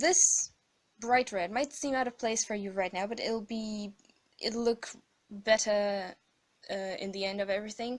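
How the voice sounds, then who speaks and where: The speaker is a woman with a non-native accent. Her voice is fairly high. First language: not English. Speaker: digital artist. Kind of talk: tutorial voiceover. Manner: hesitant, many fillers.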